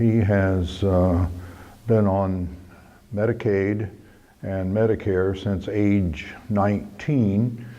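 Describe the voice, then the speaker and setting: Heard with audible room echo, a man with a Midwestern US accent has a dark, mellow tone, a fairly low pitch and ordinary pitch variation. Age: 80s+. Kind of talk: interview testimony.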